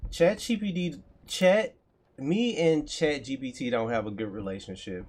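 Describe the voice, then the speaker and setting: A man with an American accent talks at a moderate pace. His intonation is lively. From Texas. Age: 30s. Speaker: coding streamer, aspiring web developer. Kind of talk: live coding stream, casual chat. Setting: livestream. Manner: casual, conversational.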